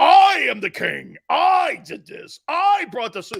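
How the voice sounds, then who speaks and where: Using a put-on character voice, a man talks at an extremely high pitch and a fairly slow pace. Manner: boastful, proud.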